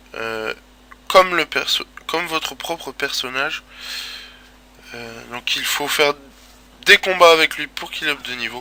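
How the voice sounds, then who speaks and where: The speaker goes at a fairly slow pace with long, frequent pauses, ordinary pitch variation and big swings in loudness against noticeable background noise. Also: man, fairly high pitch for a man. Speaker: gaming video creator. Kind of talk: gameplay commentary. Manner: casual, hesitant.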